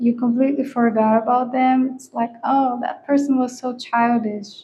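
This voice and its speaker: A woman with a non-native accent talks at a high pitch and a moderate pace. Her loudness swings widely while her intonation stays fairly even. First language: not English. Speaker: tarot reader. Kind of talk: tarot reading. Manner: casual, conversational with hesitations.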